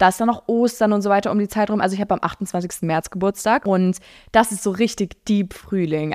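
In a very clean recording with a silent background and a dry, close sound with no echo, a woman speaks at a very fast pace in an animated tone. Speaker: podcast host and social media creator. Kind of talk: casual solo chat answering listener questions.

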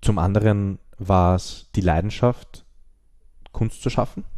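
A man talks at a fairly slow pace with a very deep, low pitch and a dark, mellow tone. The background is quiet. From Austria. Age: 20s. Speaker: screenwriter and director. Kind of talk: interview.

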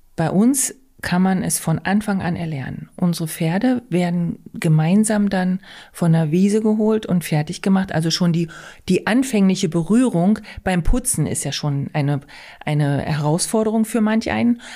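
Lively in intonation, a woman of medium pitch speaks with a dark, mellow tone. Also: moderate pace. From Altmark, northern Saxony-Anhalt. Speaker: riding stable owner. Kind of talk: podcast interview.

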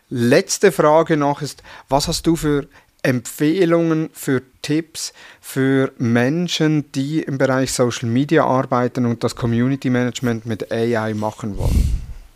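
In a very clean recording with a silent background and a dry, close sound with no echo, a man with a Swiss German accent speaks at a fairly slow pace, his medium pitch showing ordinary variation. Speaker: podcast host. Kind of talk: interview.

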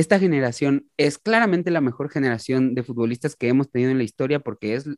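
Here a man talks at a fairly quick pace with a fairly high pitch. The sound is dry and close, with no echo. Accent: Mexican. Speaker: musician and retro football shirt collector. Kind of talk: casual chat.

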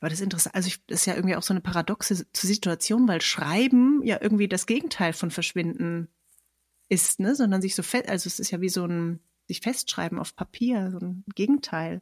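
A woman talks at a fairly quick pace in a medium pitch, somewhat breathy. The sound is dry and close, with no echo. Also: ordinary pitch variation. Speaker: poet and podcast host. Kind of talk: casual interview with quiz. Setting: online recording.

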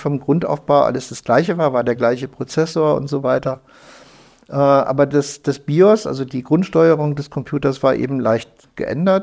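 A man's fairly high voice at a moderate pace with ordinary pitch variation. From northern Germany, Lüneburg Heath. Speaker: computer hacker. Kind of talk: interview. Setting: in person, indoor room. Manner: animated.

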